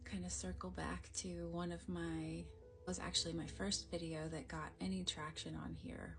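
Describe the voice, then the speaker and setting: Fairly slow speech with music in the background. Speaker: energy healer. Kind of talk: casual talk to camera.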